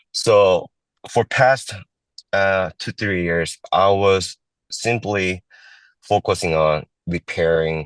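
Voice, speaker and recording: A man is speaking. The sound is dry and close with no echo, over a quiet background. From immigrant, raised in Los Angeles and Seattle. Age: 40s. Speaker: political candidate. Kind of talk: interview. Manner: halting, many fillers.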